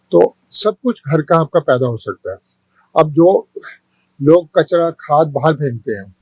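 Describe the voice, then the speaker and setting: Fairly high pitch from a man, his voice somewhat breathy. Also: dry, close sound with no echo. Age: 80s+. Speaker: home gardener and homeowner. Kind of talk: interview. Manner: halting.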